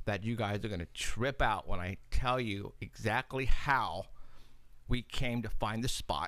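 A man at a moderate pace, with ordinary pitch variation, a quiet background and a dry sound with no echo. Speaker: paranormal radio show host and investigator. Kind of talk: live talk show, casual chat. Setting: studio. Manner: animated, laughs often. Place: studio. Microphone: studio mic.

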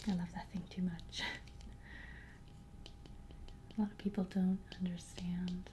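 A soft-spoken woman at a moderate pace with light background noise. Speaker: vlogger showing objects. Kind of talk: casual vlog chat. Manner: soft, hushed ASMR voice. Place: home room. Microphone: webcam.

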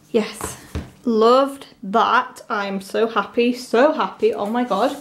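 A woman's fairly high-pitched voice at a very slow pace. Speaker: K-pop fan unboxing vlogger. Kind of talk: unboxing video, casual excited reaction. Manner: animated, excitable. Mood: excited, gushing. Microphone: phone near.

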